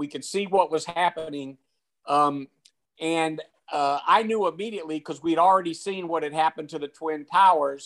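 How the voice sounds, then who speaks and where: A high-pitched man with an American accent and fairly even intonation. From US South, Macon, Georgia. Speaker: retired general, Vietnam veteran. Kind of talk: interview, personal storytelling.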